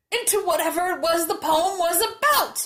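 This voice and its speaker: A put-on character voice at an extremely high pitch, delivered at a moderate pace. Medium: read story.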